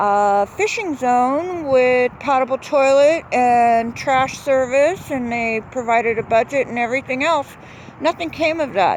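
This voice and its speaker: A woman with a high pitch talks at a fairly slow pace against noticeable background noise. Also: lively intonation. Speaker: local resident vlogger. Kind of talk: casual video commentary. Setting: outdoors by a pond. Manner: halting, many fillers.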